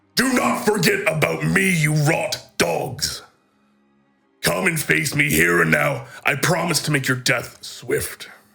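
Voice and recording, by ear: In a put-on character voice, a man sounds raspy and fairly high-pitched, speaking at a fairly slow pace with very even loudness while faint music plays in the background.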